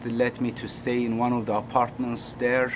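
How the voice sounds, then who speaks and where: Noticeable background noise runs under a voice with a Turkish accent. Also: man. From Turkey. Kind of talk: personal story. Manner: halting.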